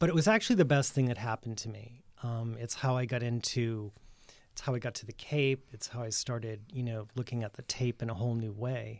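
With an American accent and a normal speaking voice, a man talks at a fairly quick pace, his medium pitch carried in fairly even intonation. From Massachusetts (Worcester). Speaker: designer and shop owner. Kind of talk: casual interview. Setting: studio.

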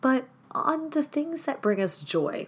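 A woman speaks at a very slow pace. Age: 30s. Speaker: podcast host. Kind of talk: solo podcast monologue.

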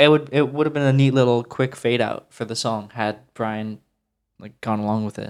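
With a normal speaking voice, a man talks at medium pitch and a moderate pace. His intonation stays fairly even while his loudness swings widely. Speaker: music historian. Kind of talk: casual discussion of recording sessions.

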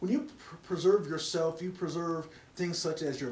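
Audible room echo surrounds a man whose fairly high voice has ordinary pitch variation. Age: 30s. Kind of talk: casual chat.

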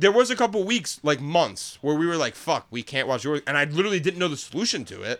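At a very fast pace, a man with a fairly high pitch and vocal fry sounds animated, his pitch swinging very widely. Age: 20s. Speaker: podcast co-host. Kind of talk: casual chat.

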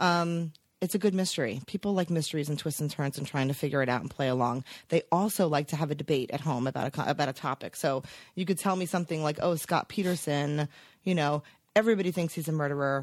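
With an American accent, a woman speaks at a very fast pace in a very deep, low pitch with ordinary pitch variation. The recording is very clean, with a silent background. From New Jersey, Teaneck. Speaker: TV network executive. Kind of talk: casual chat. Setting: office.

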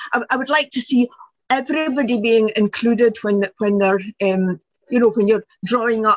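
Speaking at a moderate pace in a Scottish accent, a woman with a fairly high voice uses ordinary pitch variation. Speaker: audience member asking questions. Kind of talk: Q&A discussion.

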